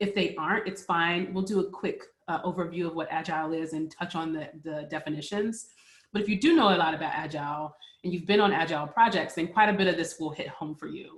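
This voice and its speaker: Speaking very fast, a woman with a fairly low, somewhat breathy voice uses ordinary pitch variation. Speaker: MDM consultant and agile practitioner. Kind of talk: webinar presentation. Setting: working from home, virtual webinar.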